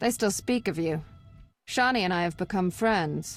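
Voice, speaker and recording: Over faint background music, a woman puts on a character voice at a medium pitch, talking at a moderate pace. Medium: video game.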